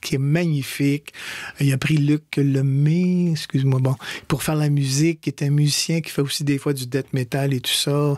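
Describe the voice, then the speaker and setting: In a dry, close recording with no echo, a somewhat breathy man with a fairly high pitch speaks at a moderate pace in a monotone, flat intonation. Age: 60s. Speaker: stage actor. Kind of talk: radio interview. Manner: halting.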